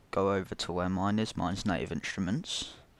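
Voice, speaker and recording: The recording is very clean with a silent background, carrying a plain, everyday voice at a fairly quick pace with ordinary pitch variation. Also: man. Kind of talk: software tutorial narration.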